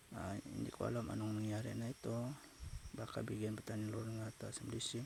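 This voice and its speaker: A soft-spoken man talks at a fairly quick pace. His intonation is monotone and flat. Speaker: cooking vlogger. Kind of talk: cooking tutorial. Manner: halting.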